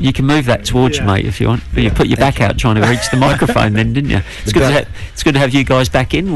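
A man speaks over noticeable background noise. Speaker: radio show co-host. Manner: loud.

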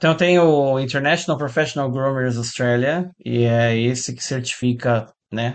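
This man has an unremarkable speaking voice at medium pitch with ordinary pitch variation. He talks at a moderate pace. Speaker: guitar teacher and musician. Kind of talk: interview.

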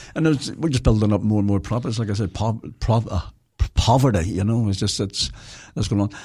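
The voice is somewhat breathy and dark and mellow in tone, in a Belfast accent at a fairly quick pace, on a very clean recording with a silent background. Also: man, fairly low pitch for a man, ordinary pitch variation. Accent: Belfast Northern Irish. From Northern Ireland, Belfast. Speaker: former tenant advocate. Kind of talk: casual radio interview.

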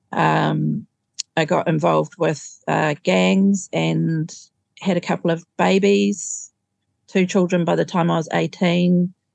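A woman speaks very slowly with a New Zealand accent, her loudness very even. The sound is dry and close with no echo, against a quiet background. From New Zealand, Auckland. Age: 50s. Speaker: recovering alcoholic. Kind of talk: testimony.

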